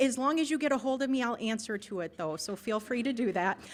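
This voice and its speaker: A woman with an American accent, high pitch and a fairly quick pace. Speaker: nonprofit agency director. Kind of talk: club presentation. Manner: fast.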